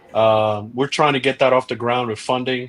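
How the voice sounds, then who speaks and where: A man's voice in a flat, monotone intonation. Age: 60s. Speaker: restaurateur and actor. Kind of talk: casual chat. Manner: halting.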